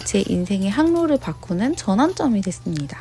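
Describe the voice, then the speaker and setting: The voice moves at a moderate pace with very wide pitch swings, over noticeable background noise. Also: woman. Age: 30s. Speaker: vlogger. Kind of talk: scripted narration.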